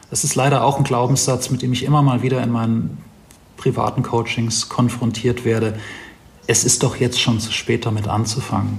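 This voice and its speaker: Over noticeable background noise, a man talks at medium pitch and a moderate pace with fairly even intonation. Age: 40s. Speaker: life coach. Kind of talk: interview.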